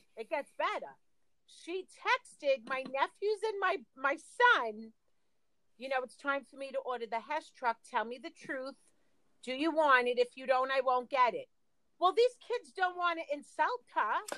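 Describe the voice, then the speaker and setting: A woman with a high, bright, sharp voice projects loudly at a fairly slow pace, her intonation lively and her loudness swinging widely. The sound is dry and close, with no echo. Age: 50s. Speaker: podcast co-host. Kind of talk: casual chat.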